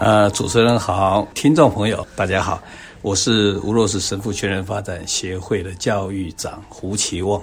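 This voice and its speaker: Over noticeable background noise, a man with a fairly low voice talks fairly slowly with fairly even intonation. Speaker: reflexology instructor and co-author. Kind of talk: interview.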